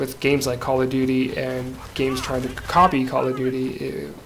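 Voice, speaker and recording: A Canadian accent comes through at a moderate pace, with noticeable background noise behind the voice. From Canada. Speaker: gaming commentator. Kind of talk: video game commentary. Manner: casual, with frequent fillers.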